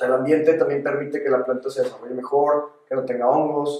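Man with an unremarkable speaking voice, fairly high in pitch, fairly even in intonation and fairly quick in pace. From Mexico, León (Guanajuato). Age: 20s. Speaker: agtech entrepreneur. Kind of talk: interview.

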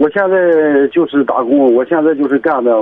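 A man talks at a fairly quick pace with fairly even intonation while noticeable background noise is heard. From Pingyin, Shandong. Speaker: caller, parent. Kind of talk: phone-in conversation. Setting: phone call.

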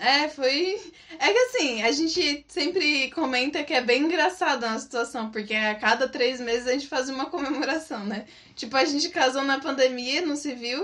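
With noticeable background noise behind her, a woman speaks at a moderate pace in a high pitch with ordinary pitch variation. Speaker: former missionary. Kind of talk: casual chat. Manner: animated.

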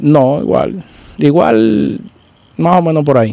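A man with a medium-pitched voice speaks in a dark, mellow tone with lively intonation. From Dominican Republic, rural Santiago province. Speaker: barber turned entrepreneur. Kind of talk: casual chat.

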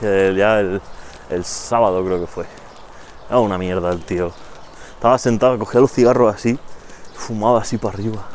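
A man with a fairly low pitch and fairly even intonation talks at a moderate pace, leaving long, frequent pauses. Noticeable background noise runs underneath. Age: 20s. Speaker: podcast co-host. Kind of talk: casual chat.

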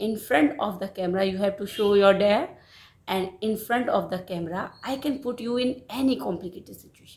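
In an Indian accent, a woman speaks at a fairly quick pace and a medium pitch. Her voice is somewhat breathy, with ordinary pitch variation. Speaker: podcast host. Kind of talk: casual game-show interview. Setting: remote online call.

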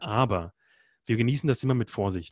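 On a very clean recording with a silent background, a man speaks at a medium pitch. His pace is fairly quick. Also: dry, close sound with no echo. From Germany (Berlin). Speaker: expedition guide. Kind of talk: interview. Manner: hesitant, many filler sounds.

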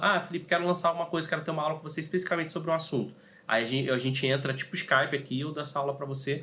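This man talks very fast in a bright, sharp tone. His fairly high pitch has ordinary variation. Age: 30s. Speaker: podcast host, digital marketing consultant. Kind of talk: casual chat on a live stream.

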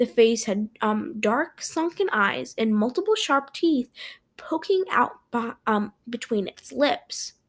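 At a very slow pace, a woman with a high pitch makes very wide pitch swings on a very clean recording with a silent background. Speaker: podcast host. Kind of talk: ghost story telling. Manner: casual, chatty host.

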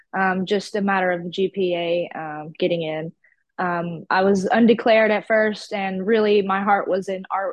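Speaking fairly slowly with a Southern US accent, a woman keeps a medium pitch and fairly even intonation. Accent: Southern US, country. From Georgia, US South. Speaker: artist. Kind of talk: casual podcast interview. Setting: video call.

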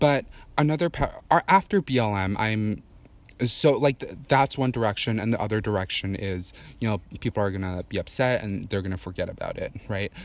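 A man with a normal speaking voice talks at a fairly quick pace in a fairly low pitch with ordinary pitch variation, on a very clean recording with a silent background. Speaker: guest. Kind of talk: casual chat.

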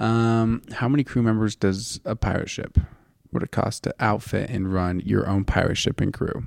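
A plain, everyday voice at a moderate pace, fairly even intonation, dry, close sound with no echo. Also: man, medium pitch for a man. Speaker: podcast co-host. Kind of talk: casual chat.

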